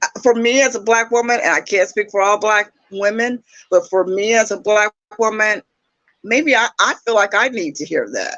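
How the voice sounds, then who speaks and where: This woman has an unremarkable speaking voice, fairly high in pitch, moving at a moderate pace with ordinary pitch variation. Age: 60s. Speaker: YouTube dating talk show host. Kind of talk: casual conversation. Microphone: echo on her end.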